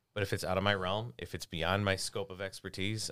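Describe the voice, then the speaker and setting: Recorded very cleanly against a silent background, a man with a plain, everyday voice speaks with a fairly low pitch, ordinary pitch variation and an American accent. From Chicago area, Illinois. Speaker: attorney. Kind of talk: casual interview.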